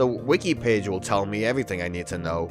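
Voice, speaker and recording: Music plays in the background as a man speaks. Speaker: let's play gamer. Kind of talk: casual gameplay commentary.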